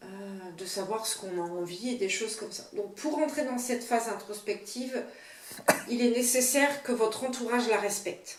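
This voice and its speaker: Amid noticeable background noise and audible room echo, a woman with a fairly high voice speaks at a moderate pace with ordinary pitch variation. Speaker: tarot reader. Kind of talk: tutorial. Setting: home video, partner filming. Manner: halting.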